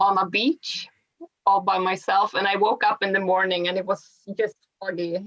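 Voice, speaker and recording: Her intonation is monotone and flat. The woman speaks with a Swedish accent. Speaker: long-distance hiker. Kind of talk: interview.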